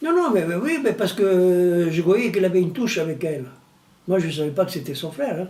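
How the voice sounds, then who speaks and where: Audible room echo carries a man's high-pitched voice at a fairly quick pace. His pitch varies in an ordinary way. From Tunisia, Italian family. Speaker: retired plumber telling his life story. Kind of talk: documentary interview, life story. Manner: halting, with repetitions.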